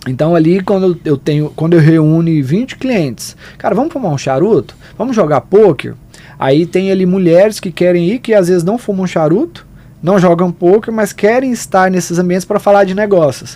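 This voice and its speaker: With a Goiás accent, a man speaks at a moderate pace and a high pitch, his pitch varying in an ordinary way. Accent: Goiás accent, mistaken for Minas Gerais. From Goiás, Brazil. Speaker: wealth leverage and consortium specialist. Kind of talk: podcast interview.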